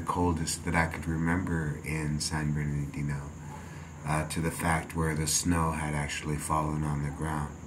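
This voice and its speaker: Against noticeable background noise, a man with a very deep, low pitch speaks in a monotone, flat way at a moderate pace. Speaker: vlogger. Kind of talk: casual vlog chat, reflective. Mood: calm, reflective. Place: home room.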